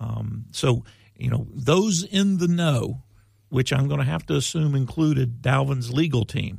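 A man speaks at medium pitch in a somewhat breathy voice. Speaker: sports talk host. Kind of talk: casual chat. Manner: halting, repeats words.

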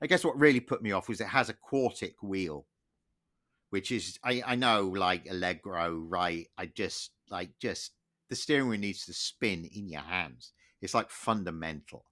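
A man with an English accent talks at a moderate pace, his intonation lively and his tone bright and sharp. The recording is very clean with a silent background. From England. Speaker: motoring historian, podcast co-host. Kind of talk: casual chat.

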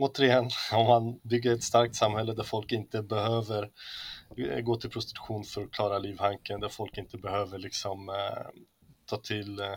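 A man speaks at medium pitch and a moderate pace, his intonation monotone and flat. He leaves long, frequent pauses. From Sweden, Hälsingland (Arbro near Bollnäs). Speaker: communist party member and musician. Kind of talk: casual interview. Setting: remote call from a hotel room.

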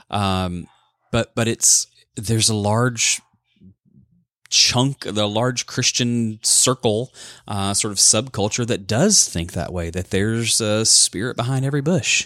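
Fairly slow and with a Southern US accent, a man speaks in a dry, close sound with no echo, captured in a very clean recording against silence. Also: medium pitch for a man, ordinary pitch variation. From US South, Alabama (Birmingham). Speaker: author and life coach, former pastor. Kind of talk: interview testimony.

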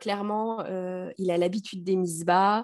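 Fairly slow and with fairly even intonation, a woman speaks in an ordinary speaking voice. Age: 30s. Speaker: primary school teacher and mother. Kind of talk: personal testimony in interview.

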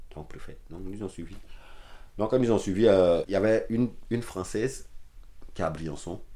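Moderate pace with long, frequent pauses, big swings in loudness and ordinary pitch variation. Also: man, fairly low pitch for a man. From Ivory Coast, Abidjan. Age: 30s. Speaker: asylum seeker and care worker. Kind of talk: personal testimony interview. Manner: halting.

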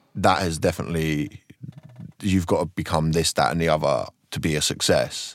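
A man with a slight south London accent talks at a moderate pace. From Croydon, south London. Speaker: stand-up comedian.

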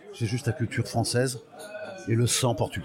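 Over crowd noise in the background, a man talks at a medium pitch. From Portugal, raised in France (Paris suburbs). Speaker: music industry veteran and olive oil producer. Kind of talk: personal life story interview. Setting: restaurant lunch. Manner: halting.

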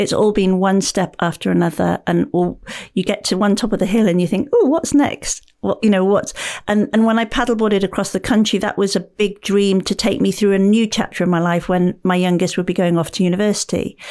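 With a British accent, the speaker talks at a fairly quick pace in a dark, mellow tone, keeping very even loudness and ordinary pitch variation. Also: woman, medium pitch for a woman, very clean recording, silent background. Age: 50s. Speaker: author and paddleboarder. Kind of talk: podcast interview.

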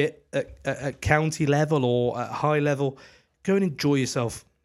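A man has a plain, everyday voice, fairly high in pitch with ordinary variation. The recording is very clean, with a silent background. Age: 30s. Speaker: cricketer and podcast co-host. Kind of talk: casual chat.

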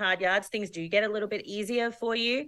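A woman with an Australian accent speaks at a fairly quick pace in a fairly high pitch. Her tone is bright and sharp, with ordinary pitch variation. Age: 40s. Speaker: filmmaker. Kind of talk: casual chat.

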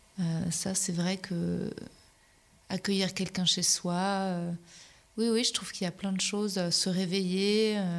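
Here a woman speaks very slowly at a medium pitch, leaving long, frequent pauses. Her intonation is monotone and flat. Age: 30s. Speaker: comedian and podcaster. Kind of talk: casual interview.

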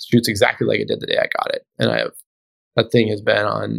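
The sound is dry and close with no echo as a man talks at a very fast pace. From Alaska. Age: 40s. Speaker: doctor and heli guide, bow enthusiast. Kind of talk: casual interview chat.

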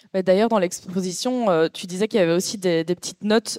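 A woman with a plain, everyday voice at medium pitch and ordinary pitch variation, in a dry, close sound with no echo and a very clean recording with a silent background. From Belgium. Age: 30s. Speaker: artist. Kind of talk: panel discussion. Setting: venue with live audience.

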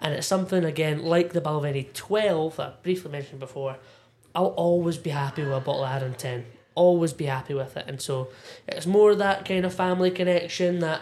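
A man with a Scottish accent speaks at a fairly quick pace in a high pitch for a man. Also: ordinary pitch variation. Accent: Scottish (Ayrshire). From Scotland, Irvine, North Ayrshire. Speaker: whisky enthusiast and former bartender. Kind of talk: casual chat. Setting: pub back room.

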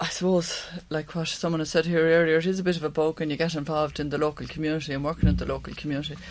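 Speaking in an Irish accent, a woman with a very deep, low pitch talks at a very fast pace in a monotone, flat delivery with hardly any pauses. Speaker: local election candidate. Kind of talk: panel debate.

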